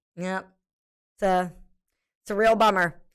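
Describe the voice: A woman speaks at a medium pitch with a clear, smooth tone. Her intonation stays fairly even at a fairly slow pace.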